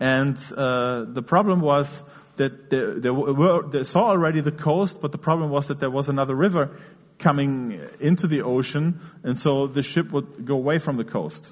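Fairly high in pitch, a man talks at a moderate pace in an ordinary speaking voice with ordinary pitch variation. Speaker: interpreter. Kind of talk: sermon. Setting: church.

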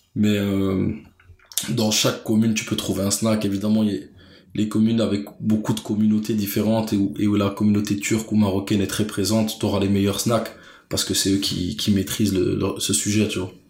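There is audible room echo around a man speaking at a fairly quick pace. His fairly low voice has monotone, flat intonation. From Brussels, Belgium. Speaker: street food enthusiast and artist manager. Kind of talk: casual interview.

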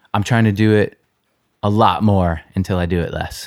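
Recorded very cleanly with a silent background, a man talks in an ordinary speaking voice at a fairly low pitch. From New York. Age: 30s. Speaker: punk singer. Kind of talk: casual chat. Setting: host's apartment.

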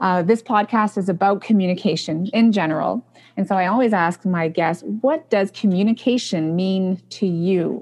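A woman at medium pitch and a moderate pace, with ordinary pitch variation, hardly any pauses and a quiet background. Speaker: podcast host and speech-language pathology professor. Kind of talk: interview. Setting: video call. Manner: enthusiastic.

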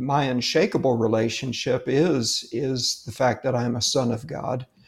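Somewhat breathy, a man speaks at a fairly slow pace in a medium pitch with ordinary variation. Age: 60s. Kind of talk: casual faith interview.

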